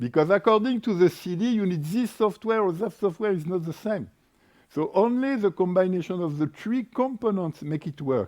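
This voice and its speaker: Against a quiet background, a man speaks with a French accent. His voice is high and his intonation lively. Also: moderate pace. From France. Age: 60s. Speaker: energy market expert and workshop moderator. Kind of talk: panel workshop talk. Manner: hesitant, with fillers.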